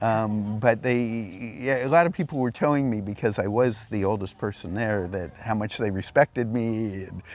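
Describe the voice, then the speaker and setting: A man with an American accent speaks at a moderate pace with hardly any pauses. His pitch is fairly low, with ordinary pitch variation. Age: 60s. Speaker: retired law professor. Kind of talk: casual interview. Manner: halting.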